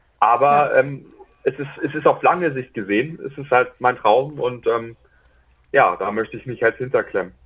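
A man speaks at a moderate pace in a medium pitch. His pitch variation is ordinary, while his loudness swings widely. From northern Germany, near Hamburg. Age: 20s. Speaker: podcast guest sharing mental health experience. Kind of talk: personal testimony interview. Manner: hesitant, many fillers and restarts.

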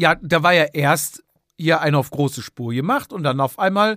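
A man speaks at a fairly slow pace and fairly high pitch, with lively intonation and a bright, sharp tone. The sound is dry and close, with no echo. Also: very clean recording, silent background. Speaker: podcast co-host, amateur cyclist. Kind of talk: casual chat.

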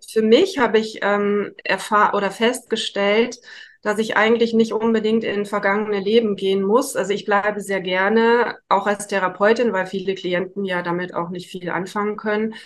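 A woman speaks at a moderate pace with a medium pitch. Her intonation stays monotone and flat. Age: 50s. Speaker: psychotherapy practitioner. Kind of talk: interview.

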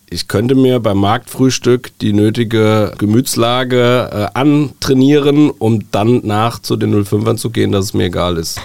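A normal speaking voice moves at a fairly slow pace with ordinary pitch variation and hardly any pauses. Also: man, medium pitch for a man. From Germany, Wiesbaden (Hesse). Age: 40s. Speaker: newspaper editor-in-chief. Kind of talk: casual interview. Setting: studio.

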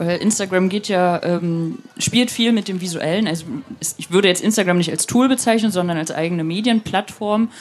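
Here is a woman with a normal speaking voice at medium pitch. Her pitch varies in an ordinary way. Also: moderate pace. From eastern Germany, Rostock. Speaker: online magazine editor-in-chief. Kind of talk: interview.

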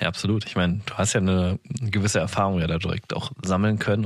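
This man has an ordinary speaking voice, pitched fairly low and delivered at a moderate pace. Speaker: podcast host. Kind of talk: interview.

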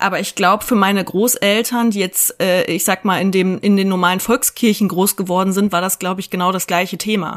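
At a fairly quick pace and with hardly any pauses, a woman speaks in a medium pitch with monotone, flat intonation. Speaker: podcast host. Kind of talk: casual chat. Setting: video call.

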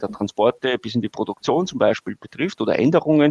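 A man speaks with a Viennese accent in a dry, close sound with no echo. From Austria, Vienna. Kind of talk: interview.

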